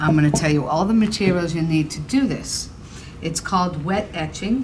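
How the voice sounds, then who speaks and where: Speaking with a Boston accent, a woman with a fairly low pitch and lively intonation keeps a moderate pace amid noticeable background noise and audible room echo. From Boston, Massachusetts. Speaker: ceramics painting teacher. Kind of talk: tutorial. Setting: indoor studio, filmed on camera. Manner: casual, joking.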